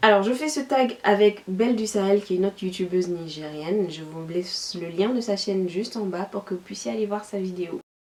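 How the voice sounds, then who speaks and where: A woman speaks at a medium pitch with hardly any pauses over noticeable background noise. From Niger. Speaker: YouTuber. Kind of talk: vlog.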